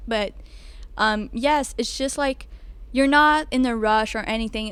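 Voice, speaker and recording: A woman speaks with a Quebec accent at a fairly high pitch. Her intonation stays fairly even. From Quebec, Montreal. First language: French. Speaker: student. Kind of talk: casual chat. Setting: restaurant on a ship.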